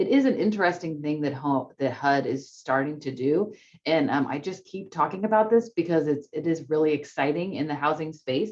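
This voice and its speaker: A woman speaks with a very deep, low pitch and lively intonation. She hardly pauses at all. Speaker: state housing agency director. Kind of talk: webinar presentation. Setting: video call webinar. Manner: fast.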